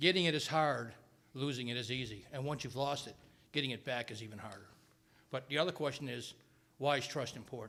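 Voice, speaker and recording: A man with a medium pitch and a bright, sharp tone talks at a fairly quick pace, with ordinary pitch variation, big swings in loudness and long, frequent pauses. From New York. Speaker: retired Air Force pilot and parent. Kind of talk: retreat talk to students. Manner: fast.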